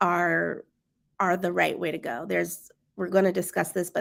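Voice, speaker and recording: A woman with an American accent speaks at a moderate pace in a very clean recording with a silent background. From Maryland, Prince George's County. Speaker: education company founder. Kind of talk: casual discussion livestream.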